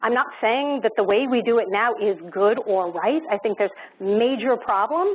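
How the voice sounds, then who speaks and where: This is an ordinary speaking voice with lively intonation. The pace is moderate and the loudness very even. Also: woman. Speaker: education panelist. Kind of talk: panel discussion.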